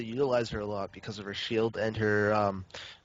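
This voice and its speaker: A man keeps a moderate pace while music plays behind his voice. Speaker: esports caster. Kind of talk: live game commentary chat. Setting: live stream.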